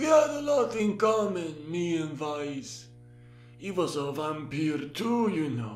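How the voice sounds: Putting on a character voice, a man speaks fairly high and fairly slowly against clear background noise.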